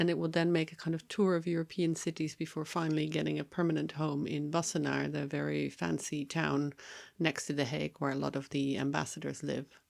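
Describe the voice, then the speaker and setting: A woman's fairly quick speech on a very clean recording with a silent background. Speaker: podcast host, journalist. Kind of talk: conversational podcast discussion; on-location field recording. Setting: outdoors in embassy garden. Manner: quiet, furtive in field recording.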